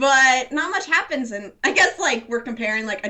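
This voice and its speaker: Noticeable background noise runs under a woman who talks at a moderate pace, her intonation lively. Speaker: manga podcast host. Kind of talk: casual chat.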